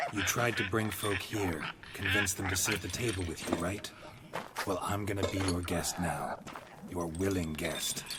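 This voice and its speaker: A man speaks at a moderate pace in a put-on character voice with a very deep, low pitch. Loud background noise runs behind him. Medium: machinima. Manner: calm, reassuring.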